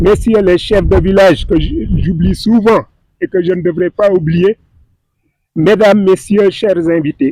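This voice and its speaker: A man with a high pitch and a dark, mellow tone speaks fairly slowly, with ordinary pitch variation and very even loudness. The sound is dry and close with no echo, and he leaves long, frequent pauses. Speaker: government official. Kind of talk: ceremonial speech. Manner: formal.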